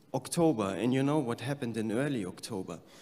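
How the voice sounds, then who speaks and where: With a German accent, a man speaks in lively intonation. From Germany. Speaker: peace activist. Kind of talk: conference speech.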